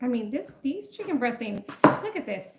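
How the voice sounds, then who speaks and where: Pitched high, a woman's voice swings very widely up and down. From Mexico. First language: Spanish. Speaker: food livestreamer. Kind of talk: casual livestream chat while cooking. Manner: chatty.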